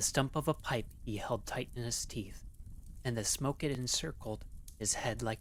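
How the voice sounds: A natural reading voice carries the recording.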